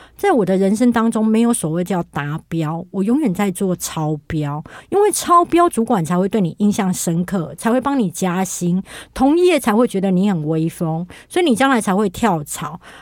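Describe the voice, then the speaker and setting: In a very clean recording with a silent background, a woman uses a normal speaking voice at medium pitch, moving at a moderate pace with lively intonation. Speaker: writer and internet influencer. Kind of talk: casual interview chat.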